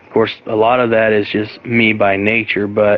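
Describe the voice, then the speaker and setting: Soft-spoken and monotone, a man talks with flat intonation in a medium pitch. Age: 20s. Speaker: wrestling podcast host. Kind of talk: casual chat. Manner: quiet, soft-spoken.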